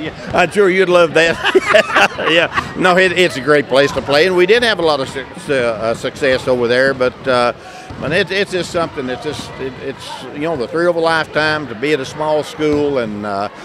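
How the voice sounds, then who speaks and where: A man speaks at a moderate pace in a fairly high pitch with lively intonation over noticeable background noise. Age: 60s. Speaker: retired basketball coach and school superintendent. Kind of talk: casual interview. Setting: gym during halftime of a broadcast game.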